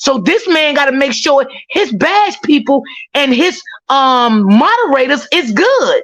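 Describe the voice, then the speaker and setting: Speaking at a high pitch with an animated tone and very wide pitch swings, a woman keeps her loudness very even. Her pace is fairly slow. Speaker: fellow content creator. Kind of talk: casual live stream chat.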